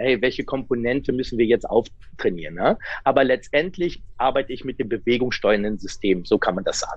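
Using a plain, everyday voice at medium pitch, a man talks at a fairly quick pace with hardly any pauses. His intonation is lively. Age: 40s. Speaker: sports scientist and coach. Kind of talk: interview.

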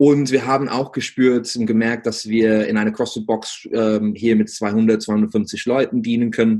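A man talks with a dark, mellow tone and hardly any pauses. His intonation stays monotone and flat. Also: medium pitch for a man. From England. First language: English (speaking German). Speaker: business coach for gym owners. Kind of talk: interview. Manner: halting, many fillers.

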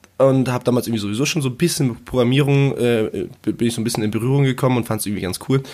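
At a very fast pace with hardly any pauses, a man at medium pitch speaks with fairly even intonation. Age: 20s. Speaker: freelancer, project manager, podcaster. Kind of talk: casual interview chat.

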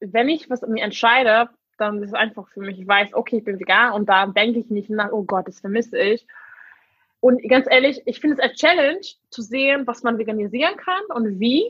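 A woman with a fairly high pitch speaks at a moderate pace, her intonation lively and her loudness swinging widely. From Hungary. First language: Hungarian and English (speaking German). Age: 20s. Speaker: vegan interviewee. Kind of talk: casual chat. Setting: video call.

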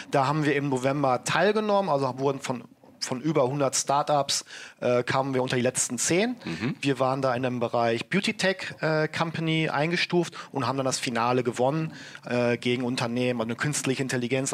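This man has an ordinary speaking voice at medium pitch, talking at a moderate pace with ordinary pitch variation and very even loudness. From Germany, Ruhr area (Bochum). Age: 30s. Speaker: entrepreneur. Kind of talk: interview.

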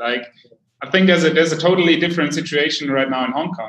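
Here a man speaks with a German accent. His pitch varies in an ordinary way. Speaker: podcast host. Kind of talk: interview. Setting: livestream. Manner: halting.

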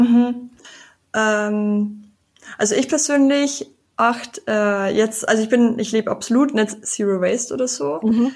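The woman's voice is somewhat breathy, with ordinary pitch variation. She speaks at a fairly slow pace. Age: 20s. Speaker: sustainability activist. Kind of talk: casual chat.

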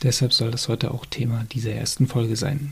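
A man's medium-pitched voice, slightly breathy, keeps a fairly level intonation. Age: 30s. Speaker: podcast host, chronic illness patient. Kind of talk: solo monologue. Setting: home recording at laptop.

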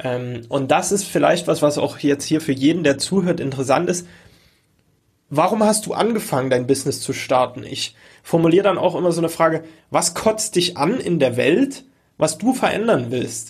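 A man with a fairly high pitch speaks at a moderate pace. It is a plain, everyday voice with lively intonation. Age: 20s. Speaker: online course entrepreneur and podcast host. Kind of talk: casual interview chat.

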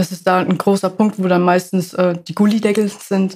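A woman's medium-pitched voice at a fairly quick pace, with monotone, flat intonation. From Ludwigshafen, Germany. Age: 20s. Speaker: apprentice sewer construction worker. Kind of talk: casual interview.

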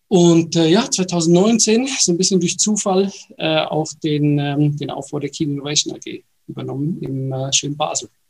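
A man with a fairly high voice talks at a moderate speed, his pitch shifting in an ordinary way. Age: 40s. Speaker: innovation company executive. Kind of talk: interview. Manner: halting, many fillers.

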